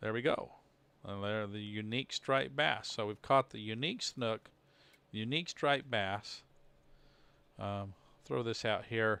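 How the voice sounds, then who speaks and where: In a very clean recording with a silent background, a man talks fairly slowly with a fairly low pitch and a bright, sharp tone. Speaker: gaming livestreamer. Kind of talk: live gameplay commentary. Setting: home streaming studio. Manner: halting.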